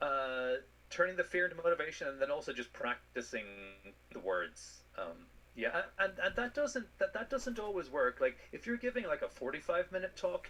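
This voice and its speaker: This man has an Irish accent. He speaks at a moderate pace. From Ireland. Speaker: space scientist. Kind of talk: interview answer.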